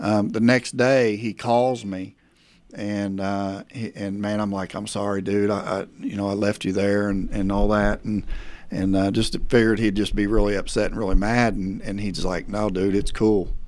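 A man with an American accent talks at a moderate pace in a fairly low, monotone voice with flat intonation. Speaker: preacher. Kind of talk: testimony. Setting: video call.

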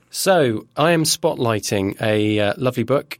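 A plain, everyday voice moves at a fairly slow pace with lively intonation, recorded dry and close with no echo in a very clean take over a silent background. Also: man. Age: 30s. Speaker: comic book podcast guest. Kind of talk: casual chat.

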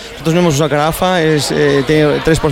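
A man keeps a moderate pace as noticeable background noise and audible room echo fill the recording. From Valladolid, Spain. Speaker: homebrewer. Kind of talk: interview.

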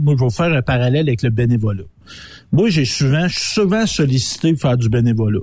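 With a dark, mellow tone and a somewhat breathy quality, a man speaks at a fairly quick pace with lively intonation on a very clean recording with a silent background. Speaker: radio co-host. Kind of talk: casual chat.

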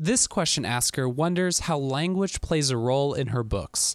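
An unremarkable speaking voice from a man, fairly high in pitch, with lively intonation at a moderate pace, in a dry, close sound with no echo and a very clean recording over a silent background. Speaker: podcast host. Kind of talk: scripted intro and outro narration.

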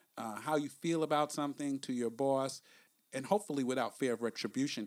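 Here a man talks fairly quickly with a New York accent, his pitch fairly high and its variation ordinary. The recording is very clean, the background silent. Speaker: podcast host. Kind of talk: casual podcast discussion, book review.

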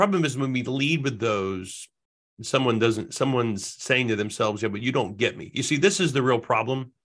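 At a moderate pace, a man with an American accent uses a normal speaking voice at a medium pitch with ordinary pitch variation against a quiet background. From New Jersey (Jersey Shore). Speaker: sales training company president. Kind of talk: podcast interview.

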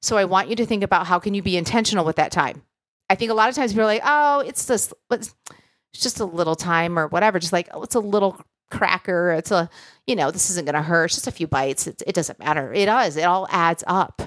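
Speaking at a very fast pace with lively intonation, a woman comes through in a dry, close sound with no echo. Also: medium pitch for a woman, very clean recording, silent background. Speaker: podcast host and coach. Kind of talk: solo podcast episode, motivational talk. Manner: warm, encouraging, conversational.

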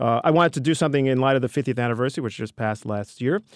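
Speaking with a New York accent, a man at a medium pitch uses ordinary pitch variation in a dry, close sound with no echo, on a very clean recording with a silent background. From New York City, the Bronx. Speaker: history professor. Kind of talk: interview.

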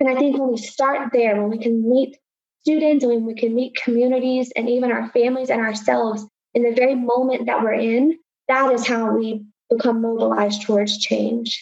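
At a moderate pace, a woman speaks in a fairly high pitch. Her intonation is monotone and flat. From Appalachia, Southwest Virginia. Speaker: engineer and university education director. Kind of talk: interview storytelling.

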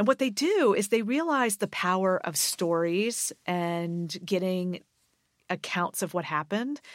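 An unremarkable speaking voice from a woman at medium pitch, lively in intonation and fairly slow, with a dry, close sound with no echo on a very clean recording with a silent background. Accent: American. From US Mid-Atlantic, Maryland suburb of Washington DC. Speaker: history professor. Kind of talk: interview.

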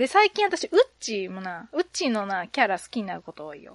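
An animated woman's voice, fairly high in pitch, with very wide pitch swings and a dry, close, echo-free sound. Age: 30s. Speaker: podcast host. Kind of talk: casual chat.

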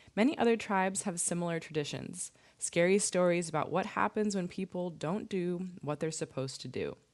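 In a normal speaking voice, a woman with a fairly low pitch talks at a moderate pace against a quiet background. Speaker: radio host. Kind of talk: call-in radio show. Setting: studio.

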